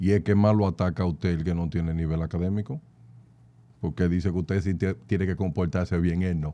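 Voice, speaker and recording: With a Dominican accent, a man speaks fairly quickly in a very deep, low pitch with a dark, mellow tone. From Dominican Republic. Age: young. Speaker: data analyst. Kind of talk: interview conversation. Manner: animated. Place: studio. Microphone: studio mic.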